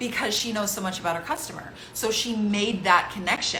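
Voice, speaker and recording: Amid audible room echo and noticeable background noise, a woman with a fairly high pitch speaks at a fairly slow pace. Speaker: online business coach. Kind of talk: live webinar teaching. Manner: slow, deliberate.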